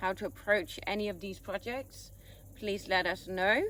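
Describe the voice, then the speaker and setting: A woman speaks at a medium pitch with fairly even intonation and a bright, sharp tone. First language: Danish. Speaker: vlogger. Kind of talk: casual chat.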